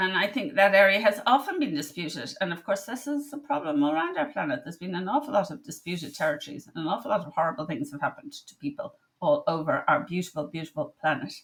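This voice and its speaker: With an Irish accent and a bright, sharp tone, a woman talks at a fairly quick pace, her pitch swinging very widely and her loudness rising and falling sharply. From Ireland. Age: 60s. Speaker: medical doctor. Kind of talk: casual monologue. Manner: halting.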